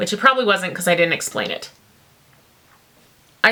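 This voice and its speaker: The woman sounds animated, her voice at medium pitch. Noticeable background noise runs beneath her. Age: adult. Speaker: poetry channel host. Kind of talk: casual vlog with poetry reading.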